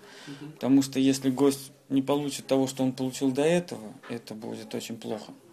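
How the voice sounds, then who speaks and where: This man talks at a fairly quick pace in a medium pitch with monotone, flat intonation. His loudness swings widely, and there is noticeable background noise. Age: 20s. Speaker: restaurateur. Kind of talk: interview. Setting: in a restaurant.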